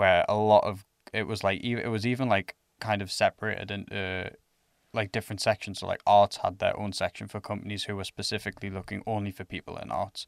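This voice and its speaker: In an English accent, a man speaks very fast in a fairly low, monotone voice with flat intonation. The recording is very clean, with a silent background and a dry, close sound with no echo. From England. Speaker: student ambassador podcast host. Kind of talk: casual chat.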